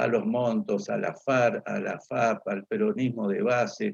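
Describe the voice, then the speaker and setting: A man speaks at medium pitch with vocal fry. His pitch swings very widely. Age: 60s. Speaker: political speaker. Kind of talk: lecture. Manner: halting, many fillers.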